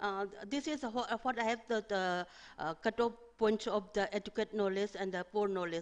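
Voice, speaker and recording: A fairly quick pace with ordinary pitch variation. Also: woman. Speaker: research presenter. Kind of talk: academic presentation. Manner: fast; halting.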